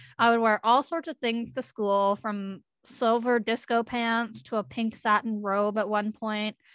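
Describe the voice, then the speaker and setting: A woman's fairly high voice comes through dry and close, with no echo. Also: very clean recording, silent background. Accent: western Canadian. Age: 20s. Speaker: youth speaker with a facial difference. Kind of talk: presentation.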